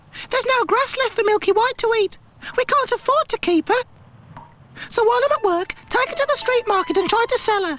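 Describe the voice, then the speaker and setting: Squeaky and extremely high-pitched, a put-on character voice moves at a fairly quick pace. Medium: read story.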